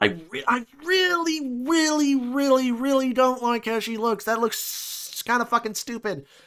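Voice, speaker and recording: There is noticeable background noise. The speech has hardly any pauses and ordinary pitch variation. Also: man, extremely high pitch for a man. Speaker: gaming commentator. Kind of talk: casual reaction commentary. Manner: fast; halting, many fillers.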